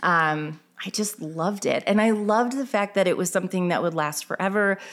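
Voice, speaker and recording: A woman with an ordinary speaking voice and an American accent talks at a moderate pace with medium pitch and ordinary pitch variation. Her loudness stays very even on a very clean recording with a silent background. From Illinois. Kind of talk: interview. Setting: in her store.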